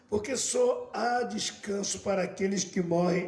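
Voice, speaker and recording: A high-pitched man at a very slow pace with fairly even intonation, plus noticeable background noise. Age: 70s. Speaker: bishop. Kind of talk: sermon.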